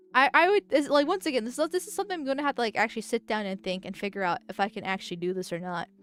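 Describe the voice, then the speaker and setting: A dry, close sound with no echo, with music in the background. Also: woman. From Venezuela. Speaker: political vtuber streamer. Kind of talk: casual livestream chat reacting to chat. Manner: halting, frequent stammering restarts.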